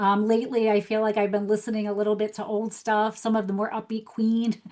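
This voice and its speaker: A fairly high-pitched woman with an American accent, dark and mellow in tone, monotone and flat, at a fairly quick pace. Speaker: life coach. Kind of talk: podcast interview.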